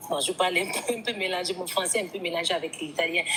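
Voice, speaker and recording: Noticeable background noise surrounds a woman speaking at a fairly low pitch with ordinary pitch variation. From Guinea. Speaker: woman telling her story. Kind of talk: testimony. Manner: hesitant, many fillers.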